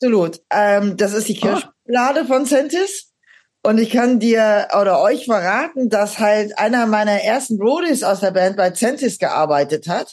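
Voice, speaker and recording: A woman with an unremarkable speaking voice talks fairly slowly in a fairly high pitch, her intonation lively and her loudness very even. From Aachen, western Germany. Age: 50s. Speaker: metal singer and psychotherapist. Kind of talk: casual interview chat.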